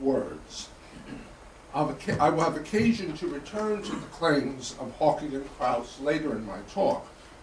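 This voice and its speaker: Over noticeable background noise and audible room echo, a man talks at a fairly slow pace. His American accent carries lively intonation. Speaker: historian and theologian lecturer. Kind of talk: lecture. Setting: conference lecture hall with audience. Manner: formal.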